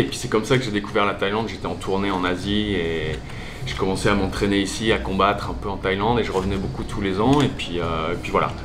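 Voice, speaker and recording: Fairly quick speech with audible room echo and music in the background. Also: man. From Alsace, France. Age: 40s. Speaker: gym owner, former DJ. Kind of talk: interview. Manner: casual, with many fillers and repetitions.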